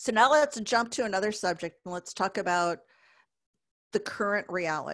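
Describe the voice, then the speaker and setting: A woman talks at a moderate pace in a normal speaking voice. Her pitch variation is ordinary. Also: quiet background. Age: 50s. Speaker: business speaker. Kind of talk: webinar presentation.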